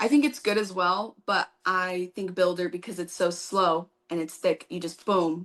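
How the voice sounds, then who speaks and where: A woman speaks in a plain, everyday voice at medium pitch, with ordinary pitch variation and a moderate pace. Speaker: nail technician and educator. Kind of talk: live tutorial Q&A chat.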